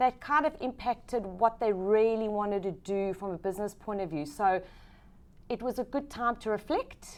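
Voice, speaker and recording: In a very clean recording with a silent background, a woman with a South African accent talks at a moderate pace, her fairly high pitch showing ordinary variation. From South Africa, Johannesburg. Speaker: business executive. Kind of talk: interview.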